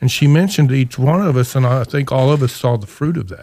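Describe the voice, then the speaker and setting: Medium in pitch, a man's unremarkable speaking voice shows ordinary pitch variation. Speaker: podcast co-host. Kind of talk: casual chat.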